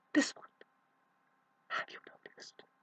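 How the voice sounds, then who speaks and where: Someone whispers at a moderate pace. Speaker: self-help vlogger. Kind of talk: emotional monologue to camera. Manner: whispering; halting.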